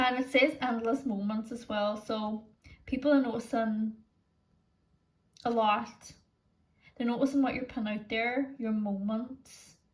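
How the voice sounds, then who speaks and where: A woman with a Northern Irish accent speaks at a fairly slow pace, her pitch fairly high. Her intonation is monotone and flat, broken by long, frequent pauses. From Northern Ireland. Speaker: tarot reader. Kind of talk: tarot pick-a-card reading. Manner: casual, lots of filler words.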